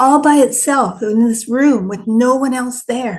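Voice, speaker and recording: A woman's fairly high, fairly slow delivery, a normal speaking voice with ordinary pitch variation. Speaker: retired solo traveler and travel vlogger. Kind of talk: casual talk to camera, travel vlog.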